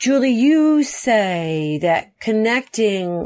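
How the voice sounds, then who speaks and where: Against a quiet background, a woman with an American accent talks at a fairly high pitch. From Ohio. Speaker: podcast host and filmmaker. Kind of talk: interview. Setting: remote call. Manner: animated.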